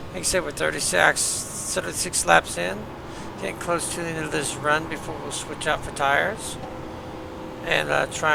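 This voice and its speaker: Mumbling at a moderate pace, a man's voice makes very wide pitch swings over noticeable background noise. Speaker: sim racing streamer. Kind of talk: live gameplay commentary. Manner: casual, hesitant.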